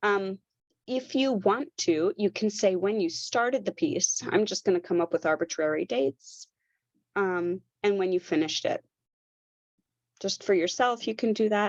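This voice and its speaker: Pausing long and often, a woman with a medium pitch speaks at a moderate pace with lively intonation, the sound dry and close with no echo. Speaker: knitwear designer and knitting instructor. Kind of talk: tutorial. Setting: online workshop with screen sharing.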